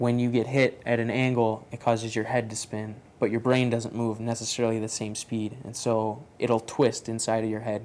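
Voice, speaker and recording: A man speaks in a flat monotone at a moderate pace, with light background noise. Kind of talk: interview answer. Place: workshop.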